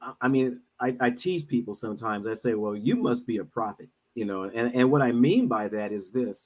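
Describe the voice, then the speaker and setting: With a plain, everyday voice, a man speaks at a medium pitch and a fairly quick pace, using ordinary pitch variation and hardly any pauses. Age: 60s. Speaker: minister and financial advisor. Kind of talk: casual chat.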